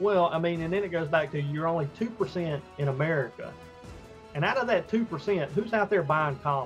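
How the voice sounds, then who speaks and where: Music plays in the background as a man with a Southern US accent talks. His pitch is high and his pace fairly quick. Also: ordinary pitch variation. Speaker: comic book creator. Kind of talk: interview answer.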